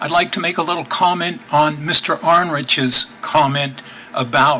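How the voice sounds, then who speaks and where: A man's fairly high voice at a fairly slow pace, with noticeable background noise. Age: 70s. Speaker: cyclist and public commenter. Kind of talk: public meeting comment.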